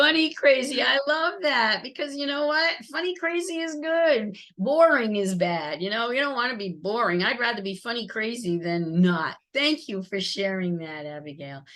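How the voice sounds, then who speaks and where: Loud and bright, a woman's high voice has a sharp tone and very wide pitch swings. She keeps a moderate pace with hardly any pauses. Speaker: customer service trainer. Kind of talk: webinar presentation. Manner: upbeat.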